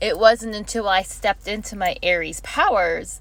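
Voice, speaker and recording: A woman at a moderate pace. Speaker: astrology vlogger. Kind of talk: casual vlog monologue. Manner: animated.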